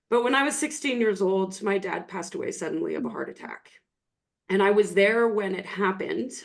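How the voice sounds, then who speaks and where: With a western Canadian accent, a woman talks at a fairly quick pace in a medium pitch with ordinary pitch variation. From Canada, rural Alberta. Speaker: online business coach. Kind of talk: storytelling on a podcast.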